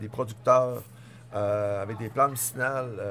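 Moderate pace, with monotone, flat intonation. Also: man. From Tadoussac, Côte-Nord, Quebec. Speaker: innkeeper and restaurateur. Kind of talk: casual interview. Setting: restaurant dining room.

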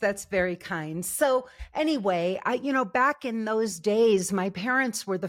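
In a plain, everyday voice, a woman at medium pitch speaks at a fairly slow pace with ordinary pitch variation on a very clean recording with a silent background. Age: 60s. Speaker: love and relationship coach. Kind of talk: interview.

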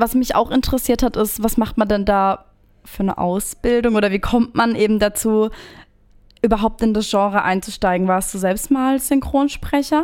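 A woman with an unremarkable speaking voice talks at a moderate pace and a fairly high pitch. Her loudness stays very even on a very clean recording with a silent background. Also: ordinary pitch variation. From Baden, Ortenau region. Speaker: podcast host. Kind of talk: casual chat.

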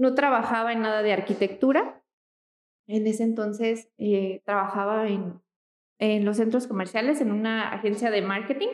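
A woman has a plain, everyday voice. Her pitch is fairly high and her intonation fairly even. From Mexico, Michoacán. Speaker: architect. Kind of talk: casual interview.

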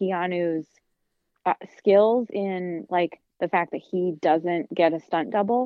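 A woman with an American accent speaks in a normal speaking voice at a medium pitch. Her pace is fairly slow, with ordinary pitch variation. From US Midwest. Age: 30s. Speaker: podcast co-host, teacher and yoga instructor. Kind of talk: casual chat.

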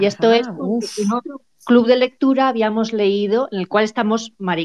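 The sound is dry and close, with no echo. A woman speaks at a fairly quick pace. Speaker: book club member. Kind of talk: casual chat.

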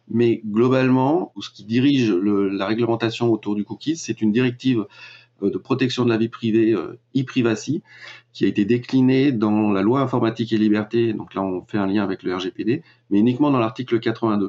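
Fairly even in intonation, a man speaks at a moderate pace with a medium pitch. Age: 40s. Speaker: web marketing and data privacy consultant. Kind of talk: interview. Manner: hesitant, many filler sounds.

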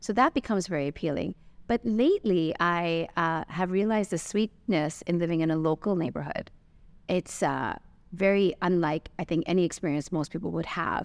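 In an ordinary speaking voice, the speaker talks at a moderate pace with ordinary pitch variation against a quiet background. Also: woman, fairly low pitch for a woman. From Canada. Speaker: business owner. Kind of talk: interview.

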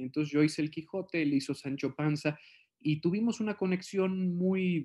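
On a very clean recording with a silent background, a man with a Mexican accent talks at a moderate pace with ordinary pitch variation. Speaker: actor. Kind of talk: interview.

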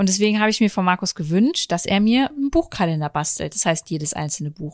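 A woman speaks with lively intonation in a plain, everyday voice. The recording is very clean, with a silent background. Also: dry, close sound with no echo. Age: 30s. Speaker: podcast host. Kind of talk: casual chat. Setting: at home on the sofa.

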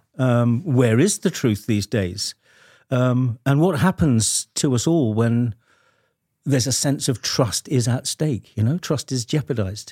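A man with a British accent talks at a fairly slow pace, his intonation lively. His tone is dark and mellow, and the recording is very clean with a silent background. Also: medium pitch for a man. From Britain. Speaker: podcast host. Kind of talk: interview.

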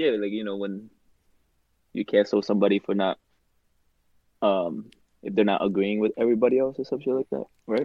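A man speaks at a fairly quick pace in a fairly low voice, with ordinary pitch variation and long, frequent pauses. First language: not English. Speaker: podcast co-host. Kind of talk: casual banter chat.

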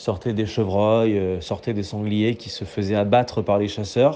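At a fairly slow pace, a man uses an ordinary speaking voice with a fairly low pitch. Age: 20s. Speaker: political journalist. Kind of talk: casual voice messages.

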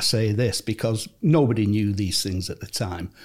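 The man has a medium pitch and a dark, mellow tone. He sounds somewhat breathy and speaks at a moderate pace. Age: 70s. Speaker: retired footballer. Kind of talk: interview. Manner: warm storytelling.

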